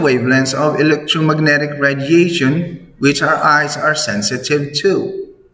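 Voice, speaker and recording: A man with a non-native accent speaks at a fairly slow pace. His pitch is fairly high, and there is noticeable background noise. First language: not English. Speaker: science teacher. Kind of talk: classroom lesson. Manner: slow, repetitive.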